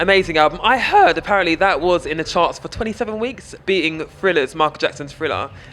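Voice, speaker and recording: Over noticeable background noise, a man with a British accent talks at a very fast pace with hardly any pauses. His pitch is high, with ordinary variation. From UK. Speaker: festival interviewer. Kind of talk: interview.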